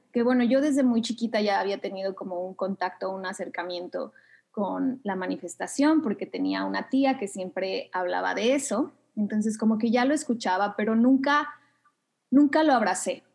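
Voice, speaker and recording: A woman speaks at a moderate pace with lively intonation and a fairly high pitch. The background is quiet. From Mexico City. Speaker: yoga instructor and manifestation coach. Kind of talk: interview conversation.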